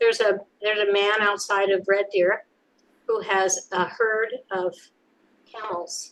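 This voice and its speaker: A woman speaks at a fairly slow pace and medium pitch. Her delivery is monotone and flat, with long, frequent pauses. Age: 70s. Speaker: holistic animal practitioner, former nurse. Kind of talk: interview conversation.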